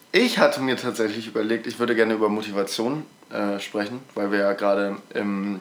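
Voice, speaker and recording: A man's fairly quick, fairly evenly intoned speech over noticeable background noise. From Mecklenburg-Vorpommern, eastern Germany. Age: young. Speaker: podcast co-host, school student. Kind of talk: casual chat.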